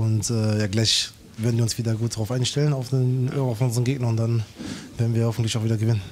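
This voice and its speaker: A man's monotone, flat delivery at a very fast pace, with light background noise. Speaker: team player interviewed; interviewee. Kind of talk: short pitchside interview; interview answer. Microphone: handheld.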